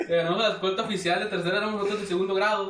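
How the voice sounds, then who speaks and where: A man speaks with a Mexican accent. Noticeable background noise and audible room echo come through. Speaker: podcast co-host. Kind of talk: casual chat.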